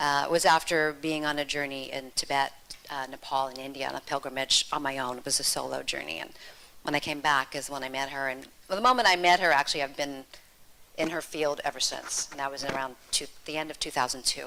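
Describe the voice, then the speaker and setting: With an American accent, a woman talks at a fairly quick pace in a very deep, low pitch, her tone bright and sharp and her intonation fairly even. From United States. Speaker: yoga teacher. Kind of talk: self-introduction at workshop.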